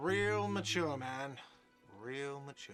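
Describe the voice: With music in the background, a man uses a whiny put-on character voice at a medium pitch.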